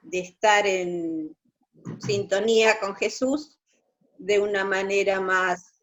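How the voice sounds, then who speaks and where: The speech is very slow, with long, frequent pauses. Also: woman. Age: 60s. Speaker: church group member. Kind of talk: testimony. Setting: video call. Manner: halting.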